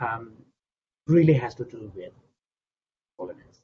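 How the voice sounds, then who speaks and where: The voice is somewhat breathy, with a Tibetan accent and a fairly slow pace. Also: man. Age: 60s. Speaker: Buddhist scholar and translator. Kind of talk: interview answering audience questions. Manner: halting, repeats words.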